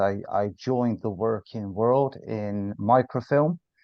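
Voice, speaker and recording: Speaking at medium pitch, a man talks with a Bristol accent. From Bristol, England. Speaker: sales director. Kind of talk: podcast interview.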